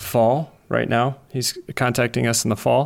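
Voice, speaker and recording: A man with an Upper Midwest accent talks at a very slow pace. His intonation is fairly even. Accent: Upper Midwest American. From US Midwest, Wisconsin. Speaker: sports scientist and cycling coach. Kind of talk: casual panel discussion. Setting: live online audio room.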